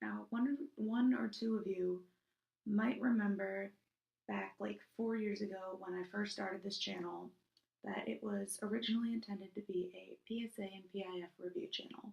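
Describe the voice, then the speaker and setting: A woman speaks in a soft-spoken way. Her pace is moderate. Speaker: YouTuber reviewing PSAs. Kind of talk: casual vlog. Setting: recording in a bathroom at home. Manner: hesitant, many fillers.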